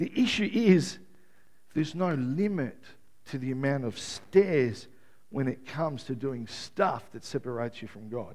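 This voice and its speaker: A man speaks slowly-ish, at a fairly slow pace, with a fairly high pitch and lively intonation. His loudness swings widely, and the room echo is audible. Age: 50s. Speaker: pastor. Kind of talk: sermon.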